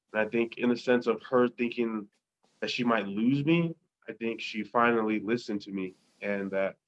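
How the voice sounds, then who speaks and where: A man talks in an ordinary speaking voice at medium pitch. His pace is moderate and his intonation fairly even. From Tonga, raised in Colorado. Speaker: podcast guest. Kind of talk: interview answer.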